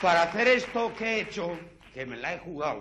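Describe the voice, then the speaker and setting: A man talks at a fairly slow pace with very wide pitch swings against light background noise. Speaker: comedian performer. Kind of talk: comic stage monologue. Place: stage. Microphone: lapel.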